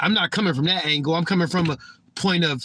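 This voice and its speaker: With a bright, sharp tone and a high pitch, a man talks at a fairly quick pace. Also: dry, close sound with no echo. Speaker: livestreamer. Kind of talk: casual livestream monologue. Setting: live stream. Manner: stuttering, repeats words.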